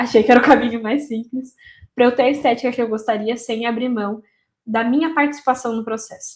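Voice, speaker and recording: A high-pitched woman at a fairly quick pace, with fairly even intonation. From interior of São Paulo state, Brazil (Taubaté). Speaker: marketing content creator, copywriter. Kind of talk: casual solo talk to camera. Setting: home office.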